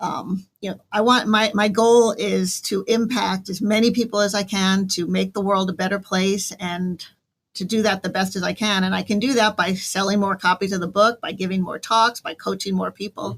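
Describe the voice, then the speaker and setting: A woman with an American accent talks at a moderate pace with hardly any pauses, her medium-pitched voice somewhat breathy and her intonation fairly even. The recording is very clean, with a silent background. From northern New Jersey. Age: 60s. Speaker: author and business owner. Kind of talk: radio interview.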